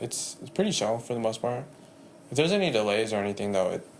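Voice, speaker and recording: Heard with audible room echo, a man speaks at a medium pitch with an American accent. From San Jose, California. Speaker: barber. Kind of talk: podcast interview.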